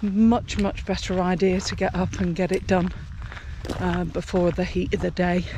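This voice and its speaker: A woman speaks at a moderate pace in a monotone, flat way. There is noticeable background noise. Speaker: travel vlogger. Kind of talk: walking vlog. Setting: outdoors walking. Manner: casual, halting.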